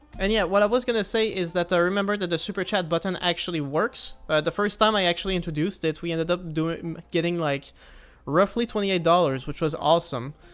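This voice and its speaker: A man talks at a very fast pace in a high pitch with ordinary pitch variation. Music runs in the background. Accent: Quebec. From Quebec. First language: French. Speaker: gaming streamer. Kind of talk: casual live stream gameplay chat. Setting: live stream. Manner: casual, hesitant with many fillers.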